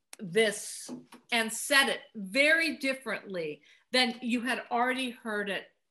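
A woman's fairly high, bright, sharp voice with an American accent, lively intonation and a fairly slow pace. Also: big swings in loudness. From US West Coast (Los Angeles). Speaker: film composer. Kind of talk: interview. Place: home room. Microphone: webcam.

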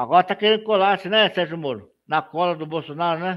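The background is quiet as a man's high-pitched voice comes through. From Brazil. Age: 50s. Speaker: political news blogger. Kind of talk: live stream commentary. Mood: critical, indignant. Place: home room. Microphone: webcam.

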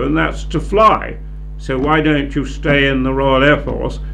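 A man talks at a fairly slow pace with a British accent. Light background noise sits behind him. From United Kingdom. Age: 80s+. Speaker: war veteran; retired air force officer. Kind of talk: interview answer. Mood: calm, reflective. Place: classroom. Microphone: handheld.

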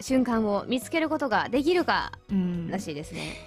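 Faint music plays behind a high-pitched woman who speaks at a moderate pace with very wide pitch swings. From Ibaraki. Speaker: voice actor. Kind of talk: web radio talk show. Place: studio.

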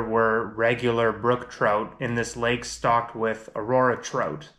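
A man does the talking. His delivery is fairly slow. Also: quiet background. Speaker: fishing vlogger. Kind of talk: casual vlog chat. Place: home room.

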